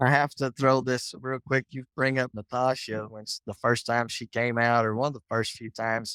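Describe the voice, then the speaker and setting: A man with a Texas accent speaks at a moderate pace and medium pitch in a bright, sharp tone. His intonation is monotone and flat, while his loudness swings widely. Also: hardly any pauses, dry, close sound with no echo. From Texas, Muleshoe. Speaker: agriculture teacher. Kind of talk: casual chat.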